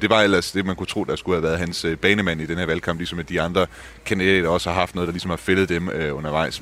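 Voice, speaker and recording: Noticeable background noise sits behind a man with a very deep, low pitch. He speaks very fast with fairly even intonation. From Denmark. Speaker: journalist, Germany correspondent. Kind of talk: casual chat.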